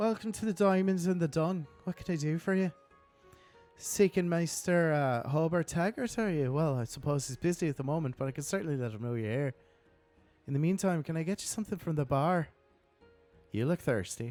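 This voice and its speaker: A man's put-on character voice with an Irish accent, breathy and fairly high, fairly quick with lively intonation, over faint music in the background. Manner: fake accent, welcoming.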